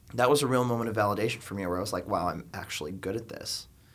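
With an ordinary speaking voice, a man of fairly low pitch speaks in an American accent with ordinary pitch variation. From South Florida, suburbs of Miami. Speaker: filmmaker. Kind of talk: casual interview. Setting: studio.

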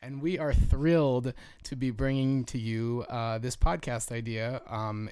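This man has an unremarkable speaking voice, medium in pitch, with an American accent and fairly even intonation. The recording is very clean, with a silent background. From Jersey Shore, New Jersey. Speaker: podcast host, program manager at an artist residency. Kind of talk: casual chat. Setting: small home studio in a bedroom.

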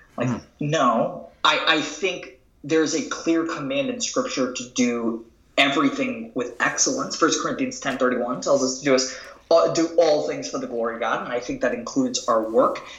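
Against noticeable background noise and audible room echo, a man with a fairly high pitch makes very wide pitch swings. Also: moderate pace. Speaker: author and entrepreneur. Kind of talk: interview conversation.

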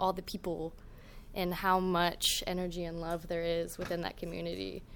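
A woman talks in a normal speaking voice at a medium pitch. Her pace is fairly quick. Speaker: video maker and visual storyteller. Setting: live event with audience.

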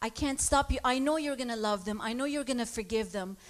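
Talking at a fairly quick pace, a woman with a high pitch shows ordinary pitch variation. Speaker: congregant. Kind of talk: testimony.

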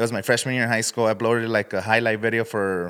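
An unremarkable speaking voice with an American accent and fairly even intonation comes through on a very clean recording with a silent background. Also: man. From US West Coast, Coachella Valley, California. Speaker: YouTuber and podcaster. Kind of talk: casual interview chat.

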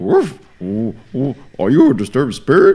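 A man puts on a character voice, keeping a moderate pace and a fairly high pitch. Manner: barking, then addressing a spirit.

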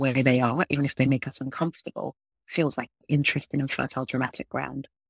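The woman's voice is very deep and low, with fairly even intonation at a fairly quick pace. The very clean recording has a silent background and a dry, close sound with no echo. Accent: London. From London, England. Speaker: TV writer and showrunner. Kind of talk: interview.

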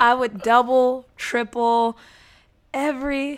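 A woman's fairly high, bright and sharp voice comes through in a very clean recording with a silent background. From San Diego, California. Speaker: former speech competitor and forensics coach. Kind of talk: casual interview chat.

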